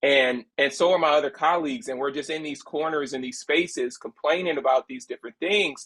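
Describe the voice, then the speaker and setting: A man talks in a normal speaking voice at a fairly high pitch. His pace is moderate, with ordinary pitch variation. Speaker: storyteller, agency co-founder. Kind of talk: interview answer.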